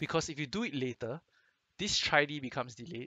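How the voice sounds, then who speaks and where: A man talks at a very fast pace with a Singaporean accent. His pitch sits fairly high, and his intonation is lively. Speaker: game guide commentator. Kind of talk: casual gameplay commentary.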